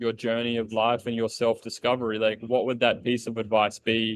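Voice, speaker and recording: A man with an Australian accent, medium in pitch, at a fairly slow pace. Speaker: podcast host. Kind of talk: casual interview chat.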